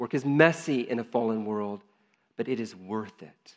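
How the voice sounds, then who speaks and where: A man speaks in an ordinary speaking voice at a moderate pace. His pitch variation is ordinary, and the background is quiet. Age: 40s. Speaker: pastor. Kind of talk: sermon.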